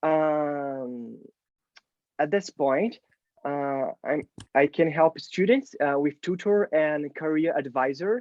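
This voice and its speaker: A man with a Portuguese accent speaks at a fairly high pitch with ordinary pitch variation. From Brazil. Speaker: UX designer and mentor. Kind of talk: Q&A at online meetup. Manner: halting, many fillers.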